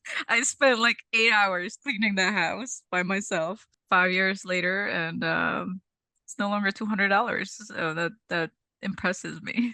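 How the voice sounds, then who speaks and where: A woman speaks with a Czech accent at a fairly slow pace, medium in pitch with ordinary pitch variation. Her tone is bright and sharp, and the sound is dry and close with no echo. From Czech Republic, Prague. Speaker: cleaning business owner. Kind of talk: interview.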